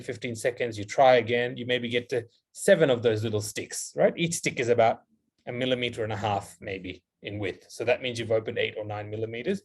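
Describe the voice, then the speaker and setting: Somewhat breathy male speech at medium pitch and a fairly quick pace. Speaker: dentist, guest lecturer. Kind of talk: lecture Q&A. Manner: fast.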